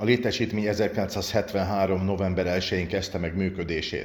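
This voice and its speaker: Delivered at a fairly slow pace, a normal speaking voice carries ordinary pitch variation. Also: man. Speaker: podcast host. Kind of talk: interview.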